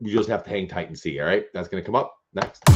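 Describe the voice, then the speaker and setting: Vocal fry with ordinary pitch variation. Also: man. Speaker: toy collector streamer. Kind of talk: live unboxing stream. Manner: casual, with fillers.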